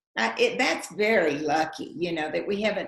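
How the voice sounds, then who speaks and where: Spoken in a strong Texan accent, the voice has ordinary pitch variation. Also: woman. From West Texas, Lubbock. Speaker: actress and writer. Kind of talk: interview at public talk. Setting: live event with online Q&A.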